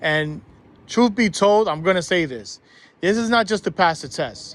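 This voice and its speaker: In a New York accent, a man speaks with a high pitch and an animated tone. His intonation is lively, and his pace is moderate. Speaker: school bus driving instructor. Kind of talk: tutorial.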